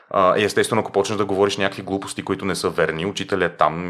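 A man's voice with ordinary pitch variation in a very clean recording with a silent background. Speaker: tour guide. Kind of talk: interview. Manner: slightly lazy articulation; clear.

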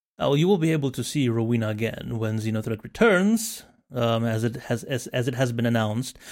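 A man speaks in a normal speaking voice at a medium pitch. His pace is fairly quick, with ordinary pitch variation. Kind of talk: casual chat. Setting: video call.

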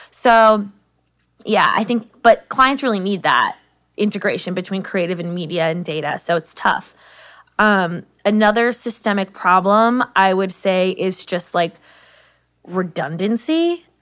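A woman at a medium pitch uses a normal speaking voice with ordinary pitch variation and a fairly slow pace. The recording is very clean, with a silent background. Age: 20s. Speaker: trade journalist. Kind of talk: interview.

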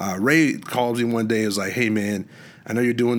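This man speaks in a plain, everyday voice with an American accent. His pitch is fairly low with ordinary variation, and his pace is fairly quick. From Washington State, US. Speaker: musician. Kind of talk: casual chat.

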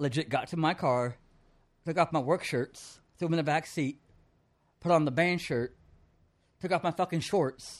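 Set against a quiet background, the speech moves at a moderate pace with ordinary pitch variation and long, frequent pauses. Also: man, fairly high pitch for a man. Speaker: music promoter. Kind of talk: casual chat. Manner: animated.

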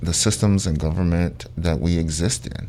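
A man with an American accent talks in a very deep, low voice with ordinary pitch variation. Noticeable background noise and audible room echo are present. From Ohio, Sandusky. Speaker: youth program manager. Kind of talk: radio interview. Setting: radio studio.

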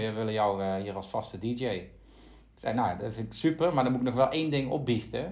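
With ordinary pitch variation, an unremarkable speaking voice talks at a fairly quick pace. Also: man. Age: 20s. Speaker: politician and podcast host. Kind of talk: interview (as guest).

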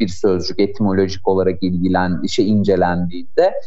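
A man's voice at a moderate tempo, with noticeable noise behind it. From Turkey, Ankara. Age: 30s. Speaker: AI association board member and doctoral student. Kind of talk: radio interview.

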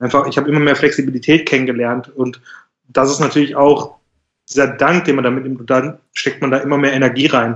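Fairly quick delivery with monotone, flat intonation. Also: man, fairly high pitch for a man. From Germany, Schwelm (Ruhr area, NRW). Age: 20s. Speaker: remote worker. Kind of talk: casual chat.

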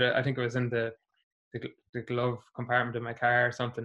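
A man's medium-pitched voice in a Meath Irish accent, bright and sharp in tone, at a moderate pace. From Ireland, Navan (County Meath). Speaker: musician and primary school teacher. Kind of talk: casual interview.

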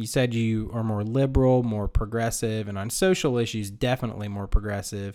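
The voice has a dark, mellow tone and fairly even intonation, moving at a fairly quick pace with hardly any pauses. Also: man, medium pitch for a man. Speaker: podcast host. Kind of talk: casual interview chat.

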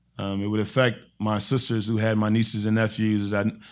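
On a very clean recording with a silent background, a man speaks with an American accent at a fairly low pitch. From eastern North Carolina. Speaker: church member. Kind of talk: testimony. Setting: church.

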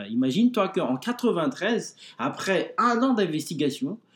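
A man is speaking. His pitch swings very widely. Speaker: blog administrator, Bible podcast co-host. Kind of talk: explanatory discussion. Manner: halting, many hesitations.

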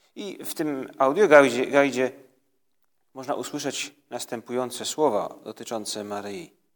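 A normal speaking voice from a man, medium in pitch with ordinary pitch variation, fairly slow, with big swings in loudness, on a very clean recording with a silent background. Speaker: priest leading prayer. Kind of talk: guided prayer meditation. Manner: calm, slow.

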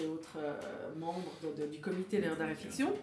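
A woman talks at a fairly slow pace. Noticeable background noise and audible room echo come through. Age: 50s. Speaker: author. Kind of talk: interview.

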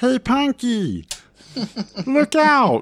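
Pitching his voice extremely high, a man performs a put-on character voice. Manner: annoying, high and grating.

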